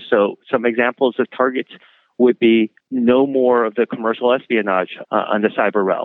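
An ordinary speaking voice from a man at a medium pitch. He keeps a moderate pace and fairly even intonation. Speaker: law professor. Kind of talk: interview clip.

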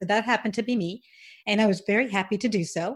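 Somewhat breathy speech in an American accent, with fairly even intonation. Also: woman, very clean recording, silent background. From US South, Alabama and Georgia. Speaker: podcast host, former educator. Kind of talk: interview.

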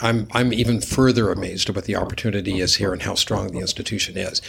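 A man with an American accent keeps his intonation fairly even while noticeable background noise runs underneath. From Nevada. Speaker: hospital system executive and vascular surgeon. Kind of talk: interview. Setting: in person, same room. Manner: halting with frequent repeats.

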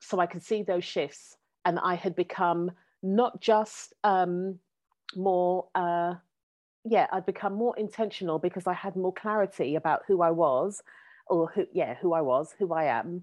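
Here is an ordinary speaking voice, a woman at medium pitch with ordinary pitch variation. Her pace is fairly slow. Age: 40s. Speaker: coach and educator, former social worker. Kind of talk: interview conversation.

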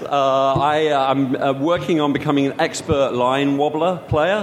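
A man talks very slowly against noticeable background noise. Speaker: game designer. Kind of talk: casual interview. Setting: live recording at a games conference. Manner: animated.

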